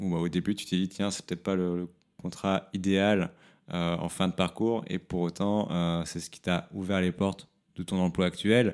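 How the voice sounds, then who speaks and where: A man at a fairly slow pace, very deep and low in pitch, with monotone, flat intonation. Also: very clean recording, silent background. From southern France, near Montpellier. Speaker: podcast host. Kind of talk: interview. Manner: halting, repeated words.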